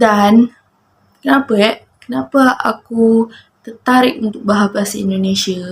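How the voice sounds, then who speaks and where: A woman with a fairly high, somewhat breathy voice speaks at a fairly slow pace with fairly even intonation. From Malaysia, Johor Bahru. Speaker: vlogger. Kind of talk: casual monologue to camera.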